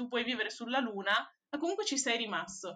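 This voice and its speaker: A woman's bright, sharp, high-pitched voice at a fairly quick pace, with very wide pitch swings. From Venice, Italy. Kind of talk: casual interview chat.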